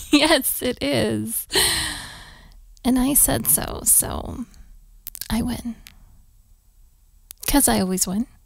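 Using a put-on character voice, a woman speaks at a very slow pace and fairly high pitch, with vocal fry, ordinary pitch variation and long, frequent pauses.

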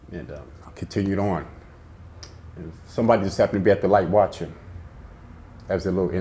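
The voice, somewhat breathy with a dark, mellow tone, rushes at a very fast pace with ordinary pitch variation. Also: man. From South Central Los Angeles; California. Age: 50s. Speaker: former prisoner; interviewee. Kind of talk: life story interview. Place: studio.

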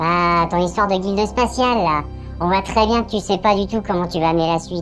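A female-sounding put-on character voice moves at a fairly quick pace and medium pitch. Music plays clearly in the background. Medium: audio drama. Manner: casual, mocking.

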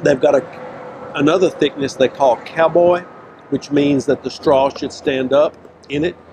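Against noticeable background noise, a man talks at a moderate pace with ordinary pitch variation. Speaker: food show host. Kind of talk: food review commentary. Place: street. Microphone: lapel.

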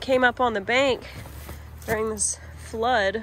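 Over light background noise, a woman speaks with fairly even intonation in a dry recording with no echo. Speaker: fishing vlogger. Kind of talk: casual vlog chat. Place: waterside. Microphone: phone near.

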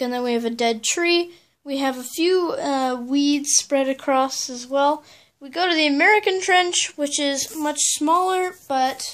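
Against a quiet background, the voice moves at a fairly slow pace with ordinary pitch variation. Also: woman. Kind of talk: casual show-and-tell narration. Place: home room. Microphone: phone near.

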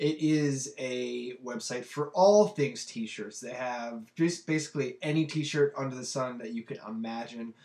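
A man at a medium pitch, slightly mellow in tone, with ordinary pitch variation, a fairly slow pace and few pauses

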